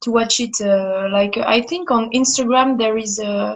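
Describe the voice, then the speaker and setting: In a French accent, the speaker goes at a fairly slow pace with ordinary pitch variation. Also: woman. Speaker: fan. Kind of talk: casual chat. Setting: Instagram live video call. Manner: halting.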